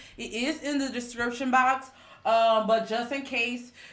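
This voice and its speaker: A woman speaks at a fairly slow pace with a fairly high pitch. Audible room echo surrounds her voice. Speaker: tarot reader. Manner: casual, chatty.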